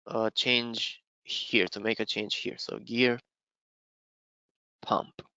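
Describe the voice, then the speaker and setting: A man with a Romanian accent. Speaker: software trainer presenting a webinar. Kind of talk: live software demo webinar. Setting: online webinar. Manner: halting, many fillers.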